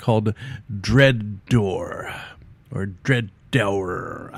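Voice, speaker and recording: Putting on a character voice, a man speaks very slowly at a fairly low pitch, with fairly even intonation and a dramatic tone. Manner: dramatic, cool announcer voice.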